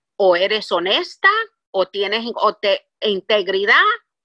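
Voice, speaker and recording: At a very slow pace, a woman speaks in a dry, close sound with no echo. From Puerto Rico. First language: English (speaking Spanish). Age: 60s. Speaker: business executive. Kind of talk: interview.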